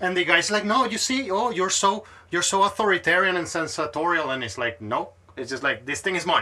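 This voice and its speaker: This man has a high pitch and a bright, sharp tone. He speaks at a fairly quick pace in a raised, projected voice. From Venezuela. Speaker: podcast host. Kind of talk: casual chat. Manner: animated.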